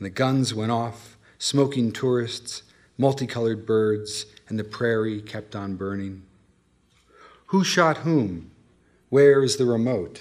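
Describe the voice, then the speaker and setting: A man with an American accent and a normal speaking voice talks at a medium pitch. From California. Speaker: poet. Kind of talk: poetry reading. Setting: reading series with live audience.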